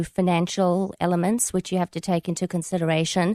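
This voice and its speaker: A woman with a South African accent speaks at a fairly quick pace and a medium pitch, in a dry, close sound with no echo against a quiet background. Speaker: author. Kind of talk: radio interview. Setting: radio studio.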